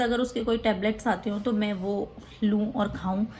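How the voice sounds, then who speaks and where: A somewhat breathy woman's voice, fairly high in pitch. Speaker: vlogger. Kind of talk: casual vlog talk.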